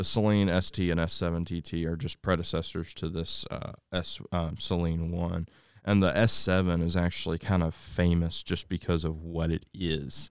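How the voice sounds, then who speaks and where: A man with an American accent speaks at a very deep, low pitch and a moderate pace, in a flat monotone. The recording is very clean, with a silent background. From US South. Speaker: podcast co-host. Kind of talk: casual chat.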